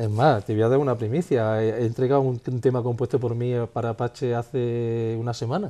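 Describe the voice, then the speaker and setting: At a fairly quick pace with hardly any pauses, a man delivers his lines in a medium-pitched, dark, mellow voice and fairly even intonation. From Spain, Jaén (Andalusia). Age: 50s. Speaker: musician. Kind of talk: interview. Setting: home living room.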